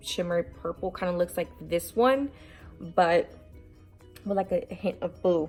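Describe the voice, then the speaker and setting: A woman at a moderate pace with music in the background. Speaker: beauty vlogger. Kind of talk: casual talk to camera. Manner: goofy, over the top.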